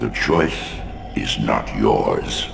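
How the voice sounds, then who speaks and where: Loud background noise surrounds a put-on character voice. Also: man. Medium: machinima. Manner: solemn, commanding.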